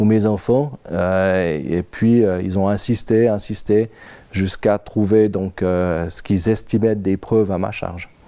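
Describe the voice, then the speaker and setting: A man speaks with a dark, mellow tone at a fairly low pitch. His pace is fairly slow, and the recording is very clean with a silent background. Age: 50s. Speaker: interviewee, victim of insurance surveillance. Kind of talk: testimony. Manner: halting, frequent hesitations.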